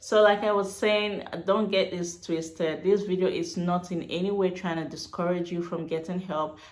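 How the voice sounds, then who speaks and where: In a room with audible echo, a woman speaks at a fairly quick pace. Her pitch is fairly low and her intonation fairly even. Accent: Nigerian. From Nigeria. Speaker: vlogger. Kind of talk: casual personal vlog. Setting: at home. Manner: hesitant with many fillers.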